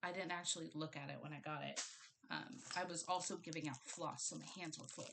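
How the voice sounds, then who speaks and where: A woman speaks at a fairly quick pace with a very deep, low pitch. Her intonation stays fairly even, and vocal fry runs through her voice. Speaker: cross-stitch hobbyist. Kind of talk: casual talk to camera. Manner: casual, rambling.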